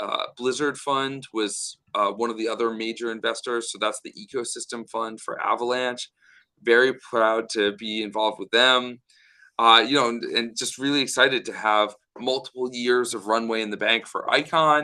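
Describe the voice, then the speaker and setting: A man with an American accent talks at a moderate pace and medium pitch, his tone bright and sharp. His intonation stays fairly even against a quiet background. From United States. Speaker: startup founder. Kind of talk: podcast interview.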